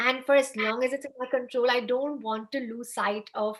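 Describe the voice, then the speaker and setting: High-pitched for a woman, her voice has a bright, sharp tone. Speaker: fashion blogger. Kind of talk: interview. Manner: soft-spoken.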